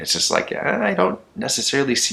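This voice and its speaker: Man's voice with a bright, sharp tone at a fairly quick pace. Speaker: spiritual vlogger. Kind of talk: casual monologue vlog. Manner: halting with repetitions.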